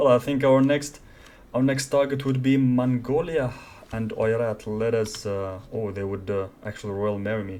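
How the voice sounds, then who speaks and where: The speaker has a non-native accent. The pace is moderate. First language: not English. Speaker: gaming YouTuber. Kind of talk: let's play commentary. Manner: casual, thinking aloud.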